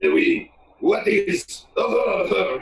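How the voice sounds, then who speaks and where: Putting on a character voice with a French accent, a man speaks at an extremely high pitch. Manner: comedic, exaggerated.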